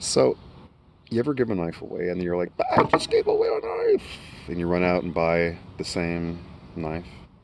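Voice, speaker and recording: A man with an American accent speaks quietly, with long, frequent pauses. There is noticeable background noise. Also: moderate pace. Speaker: YouTuber reviewing knives. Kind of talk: casual product review vlog. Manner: quiet, kept low.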